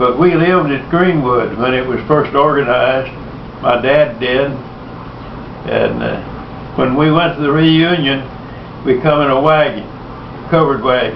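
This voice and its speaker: A man's fairly high voice with a Texan accent, fairly even intonation, a moderate pace, long and frequent pauses, and noticeable background noise. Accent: Texan Southern. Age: old. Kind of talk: family storytelling.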